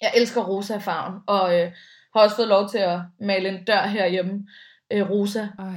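At a moderate pace, a woman with a normal speaking voice talks at a medium pitch with fairly even intonation. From Denmark, Bornholm. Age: 30s. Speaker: radio host and podcaster. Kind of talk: casual interview chat. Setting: remote recording from home.

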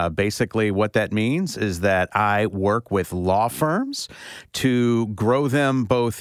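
In an American accent, a man speaks at a very slow pace. His pitch is fairly low, with ordinary variation. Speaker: guest co-host, law firm development strategist. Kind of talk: casual interview. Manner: hesitant with fillers.

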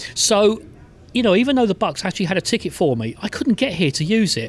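A man with an English accent and a high voice talks at a very fast pace, his pitch swinging very widely. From England. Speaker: sports journalist and football team historian. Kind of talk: interview. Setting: in person.

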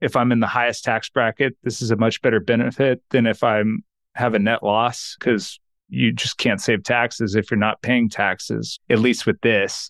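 Over a quiet background with a dry, close sound and no echo, a man with an American accent speaks at a medium pitch and moderate pace, with vocal fry, monotone, flat intonation and very even loudness. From Texas. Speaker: accountant and financial planner. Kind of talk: interview.

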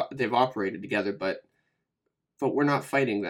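This man has an ordinary speaking voice at a medium pitch, with an American accent and ordinary pitch variation. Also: very clean recording, silent background. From western Pennsylvania. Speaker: war veteran and podcaster. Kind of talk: interview.

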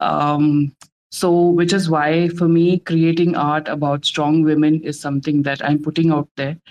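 A woman speaks in an Indian accent at a fairly slow pace, her pitch very deep and low. The intonation is monotone and flat, and the sound is dry and close with no echo. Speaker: digital artist. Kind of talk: casual live audio room chat. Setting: online audio room.

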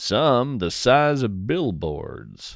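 The speech moves at a very slow pace with big pitch swings. The recording is very clean, with a silent background. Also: man.

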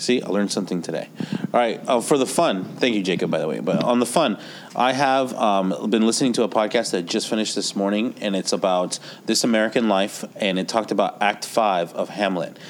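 A man talks at a fairly quick pace in a fairly low voice with ordinary pitch variation. Noticeable background noise runs under the recording. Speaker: podcast co-host; teacher. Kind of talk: casual tech podcast chat.

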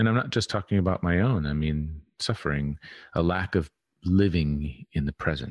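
Soft-spoken and very deep in pitch, a man talks at a moderate pace with ordinary pitch variation and very even loudness, in dry, close sound with no echo against a quiet background. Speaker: podcast guest, healing and embodiment teacher. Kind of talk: casual interview chat.

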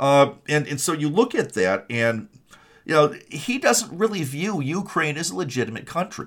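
Speaking in an Upper Midwest accent, a man has a fairly high pitch that swings very widely. His voice carries vocal fry. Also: moderate pace. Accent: Upper Midwest American. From Michigan (Kalamazoo). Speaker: political podcast host. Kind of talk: political commentary monologue. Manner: halting, many repetitions and fillers.

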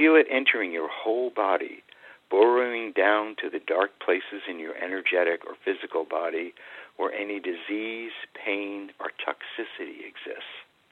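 At a moderate pace, a man with an American accent speaks with big swings in loudness. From New England, US. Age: 60s. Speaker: Taoist teacher and author. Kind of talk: guided breathing meditation, instructing listeners to visualize healing light. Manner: hesitant, with frequent um and uh fillers.

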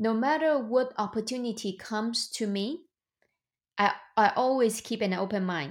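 Speaking with a Chinese accent, a woman talks at a moderate pace with fairly high pitch and ordinary pitch variation. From China. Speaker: real estate investor and entrepreneur. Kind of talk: interview.

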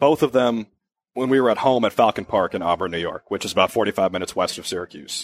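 A man at a very fast pace with medium pitch and lively intonation, in a very clean recording with a silent background and a dry, close sound with no echo. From Minnesota. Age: 20s. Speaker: student sportscaster. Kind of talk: interview.

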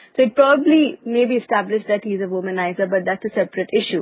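Her fairly high pitch and lively intonation mark this woman's voice. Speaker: podcast host. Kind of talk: casual business news discussion.

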